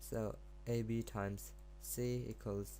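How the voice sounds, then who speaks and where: This man talks at a fairly slow pace and sounds somewhat breathy. Room echo is audible around his voice. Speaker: math tutor. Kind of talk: tutorial. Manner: halting.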